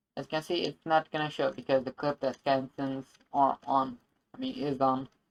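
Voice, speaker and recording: In a non-native accent, a woman talks with ordinary pitch variation. The sound is dry and close, with no echo. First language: not English. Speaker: game dev tutorial youtuber. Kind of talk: screen-recorded tutorial. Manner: halting, many fillers and self-corrections.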